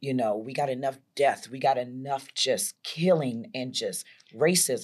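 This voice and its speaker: In an animated tone, a woman with a very deep, low voice speaks at a fairly slow pace with ordinary pitch variation. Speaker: fitness trainer and motivational speaker. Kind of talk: interview testimony.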